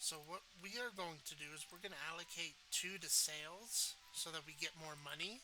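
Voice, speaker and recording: Here a man speaks at a high pitch with hardly any pauses. His tone is bright and sharp, with ordinary pitch variation. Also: moderate pace. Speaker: gaming YouTuber. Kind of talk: gameplay commentary.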